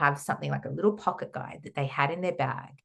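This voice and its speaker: Someone speaks with an Australian accent against a quiet background. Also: woman. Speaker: holistic counsellor and trauma therapist. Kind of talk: podcast interview.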